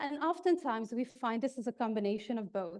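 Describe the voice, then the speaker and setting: In a slight Dutch accent, a woman talks at a fairly quick pace with lively intonation. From Netherlands. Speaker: keynote speaker on HR technology. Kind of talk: keynote speech. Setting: stage with audience.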